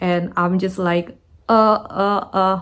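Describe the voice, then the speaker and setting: A woman speaks with a non-native accent at a very slow pace. The recording is very clean, with a silent background. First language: not English. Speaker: content creator. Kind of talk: personal story monologue.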